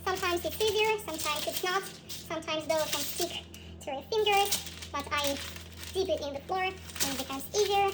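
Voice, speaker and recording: A woman with a non-native accent and an extremely high pitch, at a fairly quick pace, with ordinary pitch variation and noticeable background noise. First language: not English. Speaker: cooking video host. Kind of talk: cooking tutorial. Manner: halting.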